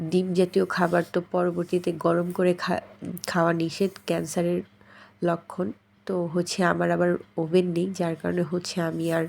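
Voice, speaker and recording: In a very clean recording with a silent background, a woman speaks at a fairly low pitch with monotone, flat intonation. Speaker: vlogger, mother. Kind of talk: casual vlog narration. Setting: outdoors.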